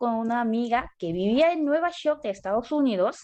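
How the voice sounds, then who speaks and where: A woman's high voice in a Korean accent, at a fairly slow pace, with very wide pitch swings. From South Korea. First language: Korean (speaking Spanish). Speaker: graduate student. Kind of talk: interview.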